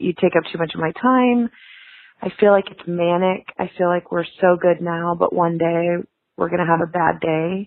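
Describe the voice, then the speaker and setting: At a moderate pace, a woman with an ordinary speaking voice talks at a fairly low pitch with fairly even intonation. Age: 30s. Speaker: caller. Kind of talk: voicemail.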